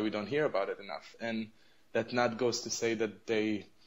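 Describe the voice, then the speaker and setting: In an Arabic accent, a man speaks at a moderate pace. His pitch is medium and his intonation fairly even. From Israel. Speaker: advocacy group representative. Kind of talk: radio interview. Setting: radio interview. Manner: halting, many fillers.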